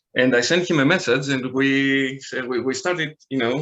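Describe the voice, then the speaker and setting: Speaking with a Greek accent, a man uses a bright, sharp tone at a medium pitch with ordinary pitch variation. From Greece. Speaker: online card game player. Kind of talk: podcast interview. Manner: halting, many fillers and repeats.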